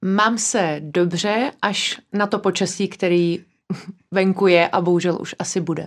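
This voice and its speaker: This woman has an unremarkable speaking voice at medium pitch, talking at a fairly slow pace with fairly even intonation. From Prague, Czechia. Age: 20s. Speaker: office and real estate manager. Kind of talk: interview. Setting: studio.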